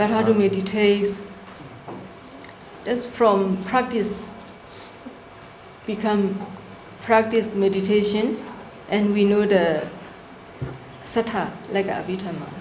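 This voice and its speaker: A woman with a non-native accent at medium pitch, fairly slow and fairly even in intonation, with long, frequent pauses, audible room echo and noticeable background noise. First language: not English. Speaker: workshop presenter on Buddhist practice. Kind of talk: Q&A answer at a workshop. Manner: halting.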